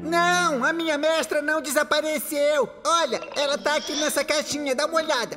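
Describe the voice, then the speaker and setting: A put-on character voice over clear background music. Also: moderate pace. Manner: excitable, joking.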